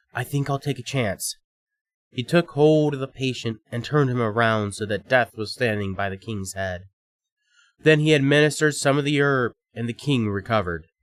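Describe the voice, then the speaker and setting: The sound is dry and close with no echo, in a very clean recording with a silent background. A man at a medium pitch speaks in a plain, everyday voice at a moderate pace with ordinary pitch variation. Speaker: storyteller narrator. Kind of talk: fairy tale narration.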